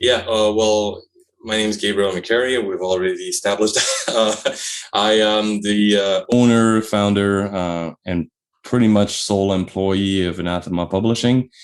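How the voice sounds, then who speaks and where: This man speaks with a Quebec accent at a fairly low pitch. His pace is moderate and his intonation fairly even. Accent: French-Canadian accent in English. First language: French. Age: 40s. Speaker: publisher and author. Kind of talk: interview. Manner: halting, many fillers.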